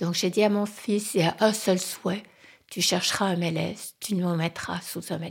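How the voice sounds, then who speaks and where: A woman speaks at a fairly slow pace in a somewhat breathy, flat monotone. The recording is very clean, with a silent background. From French-speaking Switzerland. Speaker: interviewee sharing life story. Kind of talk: personal testimony. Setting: at her home in the countryside.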